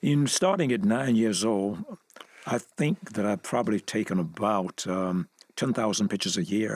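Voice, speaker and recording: A man with a Southern US accent speaks at a fairly low pitch, his intonation lively and his loudness very even, in a dry, close sound with no echo. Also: moderate pace. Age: 80s. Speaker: civil rights photographer, museum founder. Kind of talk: interview. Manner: halting.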